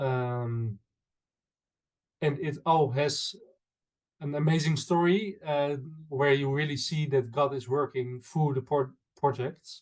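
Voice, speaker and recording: A man with a Dutch accent speaks very slowly in a fairly high, somewhat breathy voice. His intonation is fairly even, broken by long, frequent pauses. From Netherlands. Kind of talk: interview. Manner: halting, many fillers.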